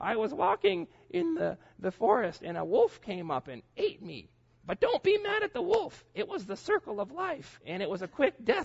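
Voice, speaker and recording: A man puts on a character voice at an extremely high pitch. He projects it loudly at a moderate pace. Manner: mocking, forced politeness.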